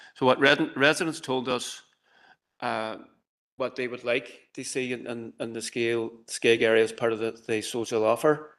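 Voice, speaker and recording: Over a quiet background, a man with a Derry accent talks at a moderate pace. His pitch is medium and his intonation fairly even. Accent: Northern Irish (Derry). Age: 60s. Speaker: community presenter. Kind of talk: presentation to council committee. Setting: council chamber hybrid meeting. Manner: hesitant, many fillers.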